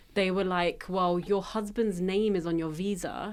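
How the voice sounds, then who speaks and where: A woman with a British accent speaks at a medium pitch and a moderate pace. The recording is very clean, with a silent background. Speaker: tech media founder. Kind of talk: casual chat. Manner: animated.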